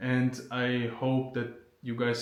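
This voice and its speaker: A medium-pitched man in a German accent, with audible room echo. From Germany. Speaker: vlogger. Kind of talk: casual Q&A vlog. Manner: unscripted, hesitant with fillers.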